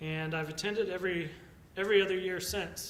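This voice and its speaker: A man with an American accent speaks in fairly even intonation, with audible room echo and noticeable background noise. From Texas. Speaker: economics lecturer. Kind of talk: conference talk.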